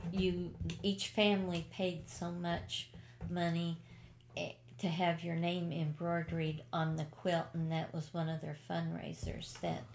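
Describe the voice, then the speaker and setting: A woman speaks at a very slow pace with an American accent. Her voice is somewhat breathy and fairly low in pitch. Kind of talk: oral history interview, reminiscing.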